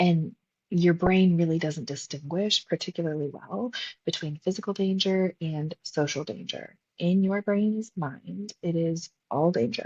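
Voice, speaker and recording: Somewhat breathy, a woman speaks fairly slowly at a fairly low pitch with ordinary pitch variation. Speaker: podcast host and psychologist coach. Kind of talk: solo podcast talk. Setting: recording live at a retreat. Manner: animated.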